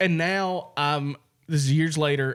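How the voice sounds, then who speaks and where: On a very clean recording with a silent background, a man with an American accent talks with ordinary pitch variation. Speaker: comedy podcast co-host. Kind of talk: casual chat. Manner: loud.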